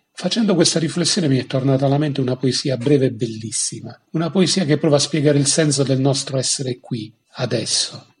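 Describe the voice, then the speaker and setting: The speech comes at a fairly quick pace with hardly any pauses. It is an unremarkable speaking voice with ordinary pitch variation. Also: man, fairly high pitch for a man. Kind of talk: poet reading aloud.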